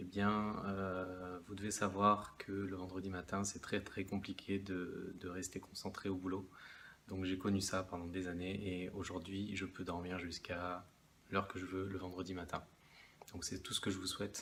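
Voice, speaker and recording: A soft-spoken man talks at a fairly slow pace. His very deep, low voice has a monotone, flat intonation. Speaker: investment vlogger. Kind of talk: casual talking-to-camera video. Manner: hesitant, many fillers.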